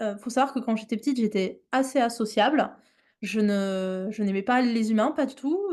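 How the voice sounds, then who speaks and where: Speaking at a moderate pace over a quiet background, a woman uses a fairly high pitch with ordinary pitch variation. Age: 30s. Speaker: animal mediation trainer. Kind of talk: online workshop presentation. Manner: hesitant, many fillers.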